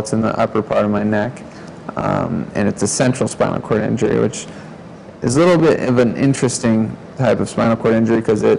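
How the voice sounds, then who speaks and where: Over noticeable background noise, a man at medium pitch talks with fairly even intonation. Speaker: spinal cord injury survivor. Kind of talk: interview testimony.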